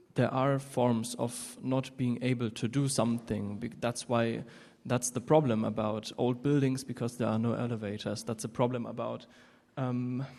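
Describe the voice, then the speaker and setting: A man speaks with a German accent at a medium pitch. His tone is dark and mellow, and his intonation is monotone and flat. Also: moderate pace. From Germany. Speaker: audience member. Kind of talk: audience question. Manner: halting.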